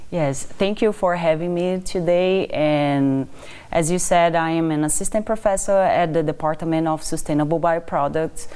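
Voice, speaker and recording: A woman speaks with a Brazilian accent at a fairly low pitch. Her pitch variation is ordinary. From Brazil, Amazon region. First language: Portuguese. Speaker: assistant professor of wood science. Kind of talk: interview.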